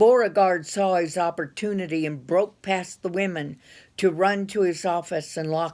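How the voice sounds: The reading sounds natural, and the intonation stays rather level.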